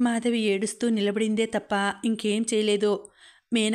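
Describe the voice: What is heard here is plain reading aloud.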